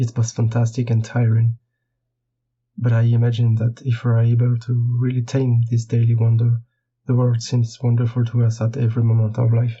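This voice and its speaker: A man speaks in a French accent, somewhat breathy. His intonation is monotone and flat, and his loudness stays very even. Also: medium pitch for a man, moderate pace. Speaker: board game illustrator. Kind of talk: prepared monologue.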